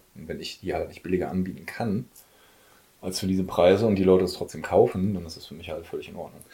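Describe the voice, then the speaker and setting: A man with a very deep, low pitch speaks at a very fast pace in a dark, mellow, somewhat breathy tone. His intonation is fairly even, but his loudness swings widely. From Ruhr area, Germany (Oberhausen). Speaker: music label owner. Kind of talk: casual chat. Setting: at home.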